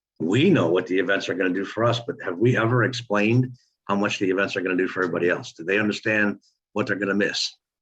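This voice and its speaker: Over a quiet background, a man talks at a very fast pace. His pitch is fairly low with ordinary variation. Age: 60s. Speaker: online marketing coach. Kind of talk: motivational group call talk. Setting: conference call. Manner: animated.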